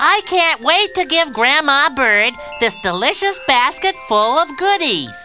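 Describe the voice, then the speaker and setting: A cartoonish character voice, female-sounding, at a fairly slow pace with clear music in the background. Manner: friendly, innocent.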